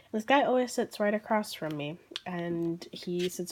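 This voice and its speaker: With noticeable background noise behind her, a woman speaks with an American accent at a fairly low pitch. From Southern United States. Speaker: artist. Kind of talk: casual talk to camera.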